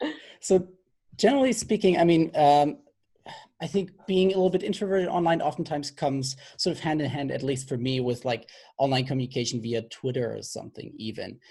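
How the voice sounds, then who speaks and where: Someone with a non-native accent talks at a fairly quick pace on a very clean recording with a silent background. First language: not English. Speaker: game developer panelist. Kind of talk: panel discussion. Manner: halting.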